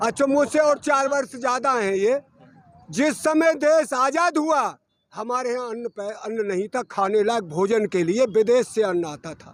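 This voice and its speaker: A man speaks with lively intonation and an extremely high pitch. His loudness swings widely from moment to moment. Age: 70s. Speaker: farmer. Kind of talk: protest interview. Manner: animated.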